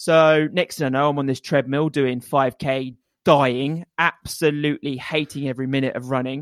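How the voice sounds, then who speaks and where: A man's fairly high voice in an East Anglian accent, with monotone, flat intonation. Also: moderate pace. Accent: English (East Anglia). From England. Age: 30s. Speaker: obstacle racing and triathlon coach. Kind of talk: casual interview. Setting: remote call over internet.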